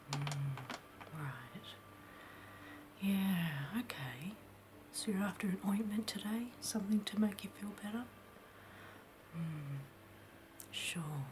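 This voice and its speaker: A soft-spoken woman's very slow, soothing voice with lively intonation and long, frequent pauses, over noticeable background noise. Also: medium pitch for a woman. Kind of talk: ASMR roleplay, soft-spoken apothecary shopkeeper. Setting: close-mic ASMR recording. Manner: soft-spoken, soothing, slow.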